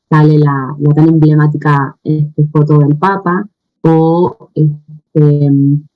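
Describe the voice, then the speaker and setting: Over music in the background, a woman with an Argentine accent speaks at a very slow pace, her very deep, low voice monotone and flat. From Argentina. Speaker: researcher. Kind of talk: conference talk. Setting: video call. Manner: hesitant, many fillers.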